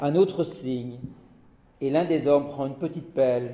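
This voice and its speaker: A man's dark, mellow, somewhat breathy voice at a fairly slow pace, with lively intonation and audible room echo. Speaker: chemist giving a talk on rituals. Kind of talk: lecture.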